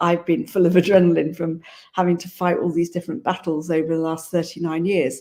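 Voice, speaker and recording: A woman with a British accent speaks at a fairly quick pace in a fairly low, flat monotone with a dark, mellow tone, on a very clean recording with a silent background. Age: 50s. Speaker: GP sharing health recovery story. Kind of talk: panel testimony.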